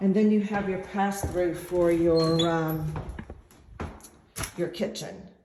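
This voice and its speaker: In a room with audible echo, a woman speaks at a fairly low pitch in a flat monotone, very slowly, with long, frequent pauses. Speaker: real estate agent. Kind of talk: guided home tour video. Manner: hesitant with fillers.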